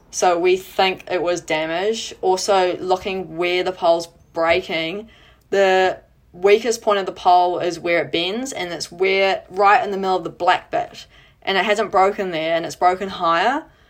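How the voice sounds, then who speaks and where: A woman's medium-pitched voice in a New Zealand accent, at a moderate pace with fairly even intonation. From New Zealand, Auckland. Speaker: sports photographer and pole vaulter. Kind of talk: casual chat.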